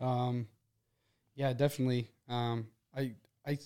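A man's dark, mellow voice at medium pitch, with an American accent and monotone, flat intonation. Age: 20s. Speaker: person in addiction recovery. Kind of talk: personal testimony in casual chat.

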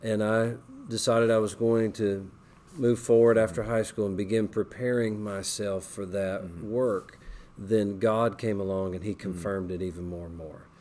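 At a moderate pace, a man speaks in an ordinary speaking voice at a fairly low pitch, with ordinary pitch variation and big swings in loudness. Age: 40s. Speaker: Bible college administrator. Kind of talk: interview testimony.

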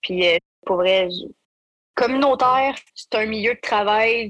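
Recorded with a dry, close sound and no echo, a woman with a Quebec accent talks at a fairly slow pace, using a medium pitch and ordinary pitch variation. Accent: Québécois French. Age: 20s. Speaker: youth worker and aerospace student. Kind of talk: personal testimony interview.

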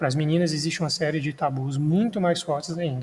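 An unremarkable speaking voice, this man's is fairly high in pitch with ordinary pitch variation. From Brazil, Minas Gerais. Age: 20s. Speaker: podcast host, history student. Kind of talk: solo podcast monologue. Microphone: non-professional recording equipment.

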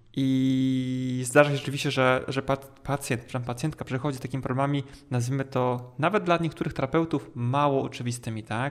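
A man talks with a plain, everyday voice. His pitch is medium and his intonation fairly even. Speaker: physiotherapist podcast host. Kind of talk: casual interview chat.

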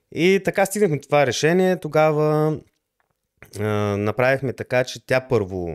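A man's speech at a moderate pace with very wide pitch swings, on a very clean recording with a silent background and a dry, close sound with no echo. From Bulgaria, Lovech. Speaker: electronics engineer and programmer. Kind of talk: interview. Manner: halting.

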